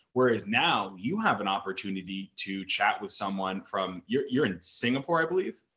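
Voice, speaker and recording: A man's plain, everyday voice with an American accent, fairly low in pitch, with lively intonation, a moderate pace and hardly any pauses. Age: 30s. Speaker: fitness coach. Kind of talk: casual chat.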